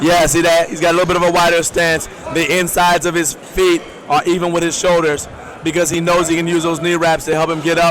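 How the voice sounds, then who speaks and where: A man with an American accent, high-pitched, at a fairly quick pace, over noticeable background noise. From Maryland, US. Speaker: powerlifting commentator. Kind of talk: live sports commentary. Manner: animated.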